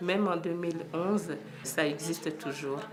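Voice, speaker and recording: Noticeable background noise surrounds a woman whose fairly low voice moves at a fairly slow pace. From Democratic Republic of the Congo. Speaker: HIV/AIDS support volunteer. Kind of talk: interview answer. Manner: calm, measured.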